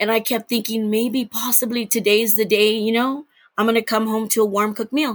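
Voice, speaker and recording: Talking at a fairly quick pace, a woman keeps her fairly high voice monotone and flat. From Texas. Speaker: podcast guest sharing DNA discovery story. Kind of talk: personal testimony interview.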